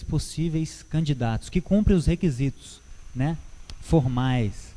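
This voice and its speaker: His pitch sits fairly high. This man talks at a fairly slow pace. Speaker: church Bible teacher. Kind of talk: Bible teaching talk. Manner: halting, with many fillers.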